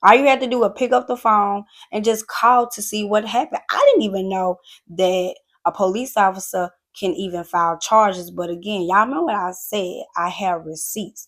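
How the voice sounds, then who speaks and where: A woman's voice at medium pitch and moderate pace, with ordinary pitch variation. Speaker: YouTuber. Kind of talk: storytime vlog. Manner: loud; animated.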